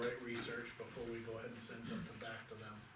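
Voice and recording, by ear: Over clear background noise and audible room echo, a man talks at a very fast pace with a medium pitch.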